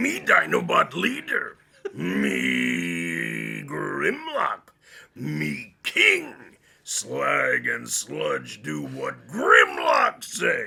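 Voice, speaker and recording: A man uses a put-on character voice and speaks at a very slow pace. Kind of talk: broken caveman-style speech. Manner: boastful.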